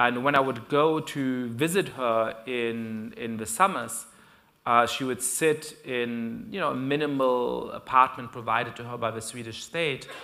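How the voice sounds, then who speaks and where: In a German accent, a man at a medium pitch talks fairly slowly with a bright, sharp tone, ordinary pitch variation, big swings in loudness, and audible room echo. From Germany. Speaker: professor. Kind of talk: lecture. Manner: frequent fillers and hesitations.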